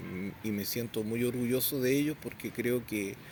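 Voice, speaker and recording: Here is a man at a moderate pace. He has a plain, everyday voice. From southern Chile, Temuco area. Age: 60s. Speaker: Mapuche community leader. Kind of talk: interview. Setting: outdoors at a memorial.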